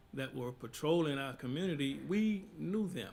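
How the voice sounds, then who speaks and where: A man talks fairly slowly, his intonation lively. Audible echo fills the room. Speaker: imam. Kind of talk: panel discussion. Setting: stage with audience.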